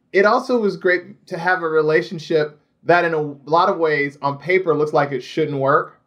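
Here a man speaks at a high pitch. His pace is moderate. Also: ordinary pitch variation. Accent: American. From Indiana, US Midwest. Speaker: TV showrunner. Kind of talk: casual chat.

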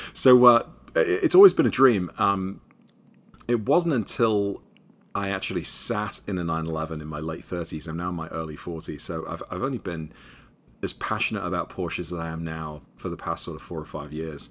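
A man with an American accent at a moderate pace, ordinary pitch variation and big swings in loudness. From England, Liverpool. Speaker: car YouTuber and motoring writer. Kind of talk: casual interview chat. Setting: video call.

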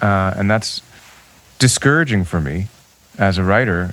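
A man speaks at a moderate pace with a fairly low pitch over noticeable background noise. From Toronto, Canada. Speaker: musician. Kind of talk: casual chat.

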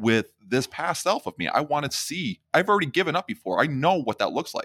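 A fairly high-pitched man with vocal fry and very wide pitch swings at a fairly quick pace, in a dry, close sound with no echo and a very clean recording with a silent background. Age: 30s. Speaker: podcast host. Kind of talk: casual interview chat.

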